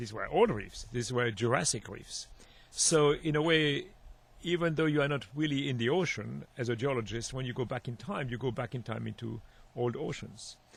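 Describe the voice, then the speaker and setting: A man with a medium pitch and a Swiss French accent speaks at a moderate pace with vocal fry and ordinary pitch variation. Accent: Swiss French accent, noticeable. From Switzerland. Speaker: marine geologist, professor. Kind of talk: radio interview. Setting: radio studio. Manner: halting.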